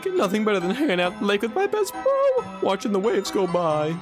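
A put-on character voice rattles along at a very fast pace. Loud music plays in the background.

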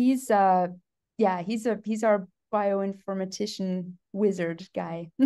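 Over a quiet background, a woman with a medium pitch and a dark, mellow tone speaks very slowly with fairly even intonation. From Canada, southwestern Ontario. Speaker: geneticist professor. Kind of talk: casual interview. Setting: conference venue. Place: office. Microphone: video call.

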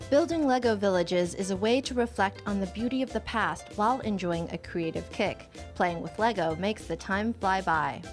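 Music plays in the background as the speaker goes at a moderate pace with hardly any pauses. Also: woman. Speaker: news reporter. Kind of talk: TV news report narration.

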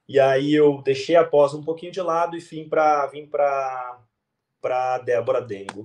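At a fairly slow pace, a man speaks in a fairly high pitch with big swings in loudness. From Santa Catarina, southern Brazil (São Bento do Sul). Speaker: physiotherapist and ergonomics student. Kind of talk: interview testimony. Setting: video call. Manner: halting.

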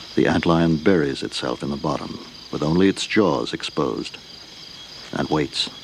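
Over noticeable background noise, a man with a very deep, low pitch speaks in a dramatic tone at a moderate pace, with ordinary pitch variation and long, frequent pauses. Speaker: documentary narrator. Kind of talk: nature documentary narration. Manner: measured, dramatic, hushed and reverent.

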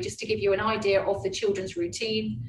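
Delivered at a fairly quick pace, the speech carries audible room echo and light background noise. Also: woman. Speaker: head of boarding at a school. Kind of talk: webinar presentation. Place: classroom. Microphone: webcam.

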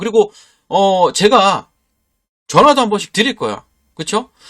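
A man's animated, high-pitched voice. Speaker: stock market YouTuber. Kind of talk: sales pitch. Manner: forceful intonation.

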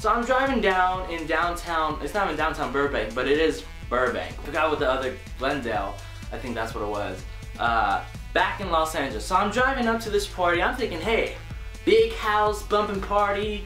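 A man at a fairly quick pace, with audible room echo and faint music in the background. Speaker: vlogger. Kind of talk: casual vlog chat, story time. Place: home room.

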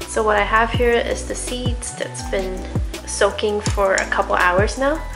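A woman's voice at a fairly slow pace, with music in the background. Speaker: vlogger. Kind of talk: calm vlog voice-over narration.

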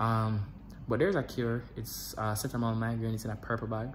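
Somewhat breathy, a man with a Jamaican accent talks at a very fast pace with fairly even intonation. Light background noise is audible. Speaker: vlogger. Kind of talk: casual vlog. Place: home room. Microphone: phone near.

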